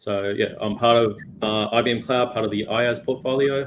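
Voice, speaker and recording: This man has an Australian accent. His delivery is flat and monotone. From Australia, Melbourne. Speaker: cloud technology executive. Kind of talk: casual interview.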